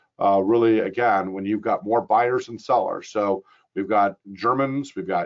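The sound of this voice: A man speaks at a fairly slow pace in a fairly low voice with ordinary pitch variation.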